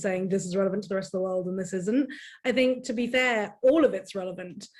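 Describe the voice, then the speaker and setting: This woman talks fairly quickly in a British accent. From United Kingdom. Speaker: cybersecurity panelist. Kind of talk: panel discussion. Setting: online event.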